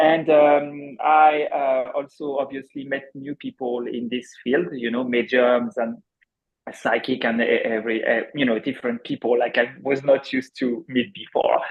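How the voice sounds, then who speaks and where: Someone with a French accent speaks at a moderate pace with fairly even intonation. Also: man, fairly high pitch for a man. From France. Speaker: accountant turned energy healer. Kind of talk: viewer question on live show. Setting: video call. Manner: halting.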